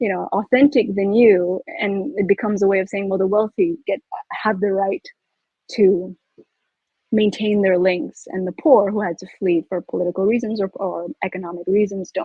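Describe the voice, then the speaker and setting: This woman's pitch sits in the medium range, with ordinary variation. She speaks at a moderate pace. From US, California Bay Area (Milpitas). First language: Pangasinan. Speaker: author. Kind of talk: panel discussion. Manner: halting, many false starts.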